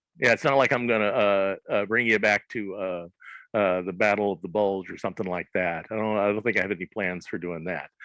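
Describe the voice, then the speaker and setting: A man with a Southern US accent speaks in a fairly low voice with a bright, sharp tone. The recording is dry and close with no echo, over a quiet background. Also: fairly even intonation, fairly quick pace. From US South, southern Arkansas. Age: 60s. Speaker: comics creator. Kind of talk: interview. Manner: halting, many fillers.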